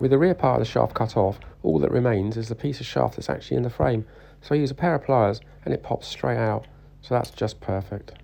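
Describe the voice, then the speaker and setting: A man's medium-pitched voice with a dark, mellow tone, vocal fry, very wide pitch swings and a fairly quick pace. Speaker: motorcycle builder. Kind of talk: workshop video narration.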